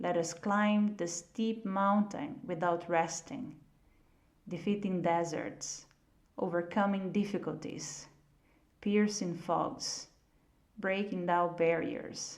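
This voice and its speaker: The speaker talks very slowly in a non-native accent, with long, frequent pauses. Audible room echo surrounds the voice. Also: woman, fairly low pitch for a woman, ordinary pitch variation. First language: not English. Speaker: audiobook reader. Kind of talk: reading aloud.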